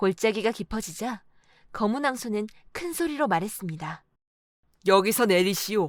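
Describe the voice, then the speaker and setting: A woman's fairly high voice with lively intonation at a moderate pace, recorded very cleanly over a silent background. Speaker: audiobook narrator. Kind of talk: audiobook fairy tale reading.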